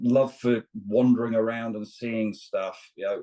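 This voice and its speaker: A man with a British accent is heard in a dry, close sound with no echo. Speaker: long-distance truck driver and outdoor instructor. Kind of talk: casual interview chat. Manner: halting, with frequent repetitions.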